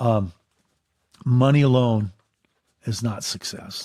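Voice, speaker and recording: The speaker has an American accent, a somewhat breathy voice and ordinary pitch variation. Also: man. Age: 60s. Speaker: business owner. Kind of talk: casual chat.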